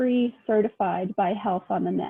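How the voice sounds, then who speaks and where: A normal speaking voice carries typical rises and falls in pitch. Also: woman. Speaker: health information liaison officer. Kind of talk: presentation.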